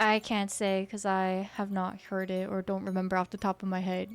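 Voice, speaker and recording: With music in the background, a woman speaks in a monotone, flat intonation. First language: Korean. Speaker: vtuber streamer. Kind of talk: casual chat. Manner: casual, filler-heavy.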